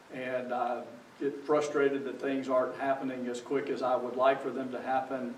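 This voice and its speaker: In a room with audible echo, a man speaks at a moderate pace with a medium pitch and monotone, flat intonation. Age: 60s. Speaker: pastor. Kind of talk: sermon.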